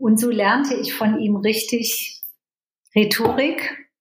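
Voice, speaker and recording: There is audible room echo. A woman talks at a fairly high pitch. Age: 70s. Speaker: coach. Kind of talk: interview.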